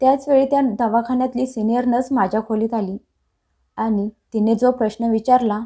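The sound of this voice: An unforced reading voice with fairly even intonation against a quiet background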